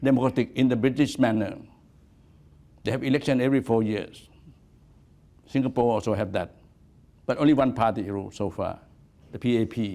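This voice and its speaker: With a dark, mellow tone, a man talks at a fairly quick pace, using ordinary pitch variation and long, frequent pauses. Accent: Thai. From Thailand. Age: 80s+. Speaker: activist. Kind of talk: lecture. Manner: halting.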